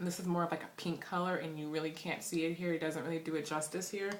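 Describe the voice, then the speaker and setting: Noticeable background noise and audible room echo surround this clip. A woman speaks at a fairly low pitch. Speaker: beauty vlogger. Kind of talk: product haul review.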